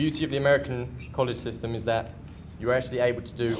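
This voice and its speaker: A man with a medium-pitched voice speaks at a fairly quick pace. Noticeable background noise and audible room echo surround him. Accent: English. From England. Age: 20s. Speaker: community college student and soccer player. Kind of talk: prepared speech at luncheon. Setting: luncheon event with audience. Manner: hesitant, with frequent fillers.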